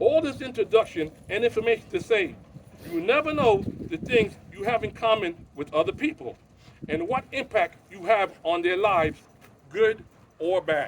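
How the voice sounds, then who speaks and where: Speech moves at a moderate pace. The pitch swings very widely. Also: man. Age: 60s. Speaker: eulogy speaker, pickleball player. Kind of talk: eulogy. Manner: halting.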